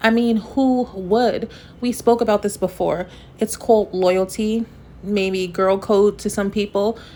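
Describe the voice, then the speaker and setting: A woman with a dark, mellow tone talks fairly slowly at medium pitch, her intonation fairly even. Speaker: commentary vlogger. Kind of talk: casual chat.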